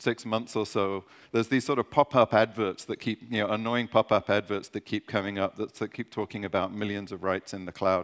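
A man with a plain, everyday voice speaks at a fairly low pitch and a fairly quick pace. His pitch varies in an ordinary way over a quiet background. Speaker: conference presenter. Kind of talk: technical conference talk. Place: stage.

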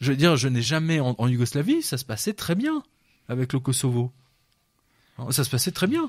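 A man at a medium pitch sounds somewhat breathy, speaking at a moderate pace with ordinary pitch variation and long, frequent pauses in a dry, close sound with no echo. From France, of Serbian descent. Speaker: journalist and essayist. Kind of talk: radio interview. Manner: halting, many repetitions.

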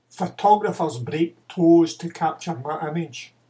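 A man with a Scottish accent speaks at a very slow pace. His pitch is fairly high for a man, and his tone is dark and mellow. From Glasgow, Scotland. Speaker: poet. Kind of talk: poetry reading. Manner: deadpan, ironic. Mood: deadpan ironic boasting. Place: home room. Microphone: webcam.

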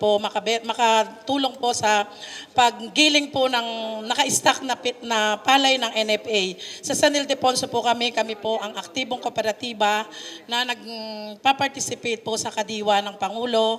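A woman speaks in a plain, everyday voice at a moderate pace. Her intonation stays fairly even. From Bulacan, Philippines. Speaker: farmer cooperative member. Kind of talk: public dialogue with official. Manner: polite, formal.

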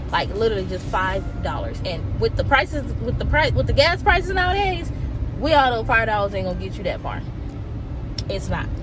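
Clear music plays in the background as a woman talks at a fairly quick pace, her voice dry with no echo. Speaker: vlogger. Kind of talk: casual vlog chat. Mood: earnest, preachy opinion. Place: car. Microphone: phone near.

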